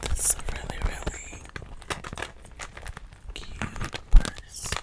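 A woman whispers at a very slow pace. Her voice is soft-spoken. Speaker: video creator. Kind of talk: casual vlog chat, soft ASMR-style talk. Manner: soft ASMR whisper close to the mic. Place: home room. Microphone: studio mic.

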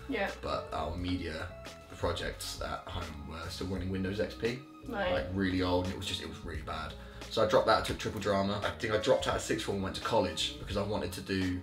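Very fast speech over clear music in the background. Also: man. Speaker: guest. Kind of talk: interview answer. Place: home room.

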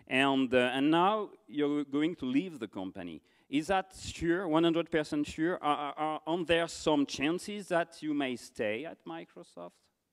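A man with a French accent speaks at a very slow pace with hardly any pauses, over a quiet background. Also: lively intonation. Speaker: conference moderator; interviewer, event host. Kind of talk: on-stage interview. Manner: halting. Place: stage. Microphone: handheld.

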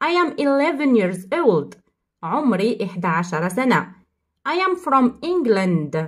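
Speaking in an Algerian accent at a very slow pace, the voice moves through very wide pitch swings. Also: woman. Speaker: English teacher. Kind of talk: tutorial.

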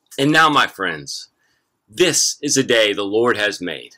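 Very slowly and with vocal fry, a man speaks over a quiet background. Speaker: pastor. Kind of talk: church service welcome and announcements. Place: garden. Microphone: phone near.

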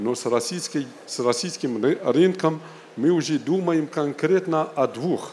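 Against light background noise, a man with a fairly high pitch talks at a very slow pace, pausing long and often. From Algeria. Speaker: business delegate; speaker. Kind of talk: panel talk. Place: hall. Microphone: handheld.

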